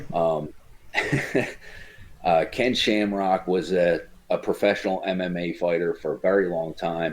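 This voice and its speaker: A man with a New Jersey accent speaks at a fairly slow pace. His pitch is very deep and low, and his intonation stays fairly even. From New Jersey, Cape May County. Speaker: former MMA fighter. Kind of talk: casual chat.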